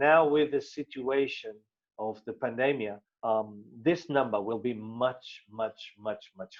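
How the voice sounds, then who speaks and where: Very slowly, a man speaks at a medium pitch with a Portuguese accent. His intonation is lively, and the background is quiet. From Portugal. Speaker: business presenter. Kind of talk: sales presentation. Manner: halting, many fillers and repetitions.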